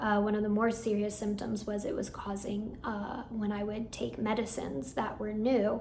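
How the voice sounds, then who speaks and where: Her intonation is monotone and flat as a woman speaks. Audible room echo and noticeable background noise fill the recording. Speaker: hypnotherapist and meditation channel creator. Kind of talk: personal vlog update. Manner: casual with fillers.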